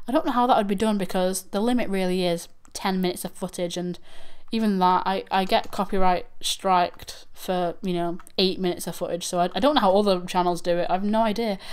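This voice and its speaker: With a Manchester accent, a woman at a medium pitch speaks at a fairly quick pace with ordinary pitch variation. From northern England, Manchester. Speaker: YouTube reaction channel host. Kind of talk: livestream chat. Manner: halting.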